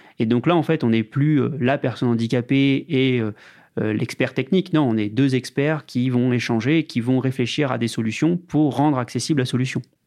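In an ordinary speaking voice, a man talks at a medium pitch with ordinary pitch variation and very even loudness. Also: moderate pace. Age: 20s. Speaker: digital accessibility lead, blind. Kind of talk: interview testimony.

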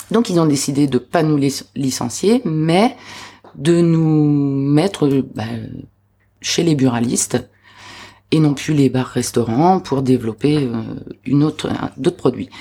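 A woman's very deep, low voice with a dark, mellow tone, ordinary pitch variation and very even loudness, at a very slow pace with long, frequent pauses. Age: 30s. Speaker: aspiring restaurant owner. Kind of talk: interview testimony. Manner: hesitant, many fillers.

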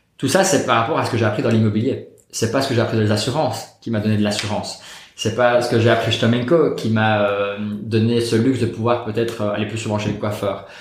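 Speaking very fast with fairly even intonation, a man at medium pitch is heard over audible room echo. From Belgium, Liège. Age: 30s. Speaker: real estate investor. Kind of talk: interview. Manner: calm.

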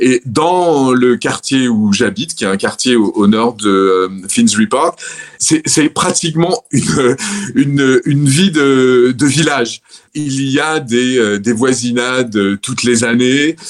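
A man at medium pitch, very slow in pace, with lively intonation. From Provence, southern France (Orange, Vaucluse). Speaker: retired French expat, city guide. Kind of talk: casual interview. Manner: hesitant, many fillers and repeated words.

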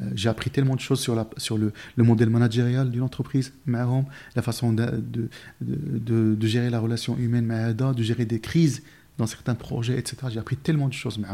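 Medium-pitched and dark, mellow in tone, a man talks at a fairly quick pace in a monotone, flat way. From Morocco, village near Marrakech. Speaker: recruitment firm founder. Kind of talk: interview conversation. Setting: company office.

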